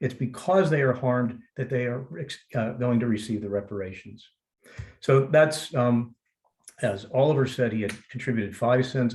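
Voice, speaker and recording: A man with an American accent speaks at medium pitch and a moderate pace. His voice is somewhat breathy, with ordinary pitch variation. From United States. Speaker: legal scholar, former trial lawyer. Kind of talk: panel talk in webinar.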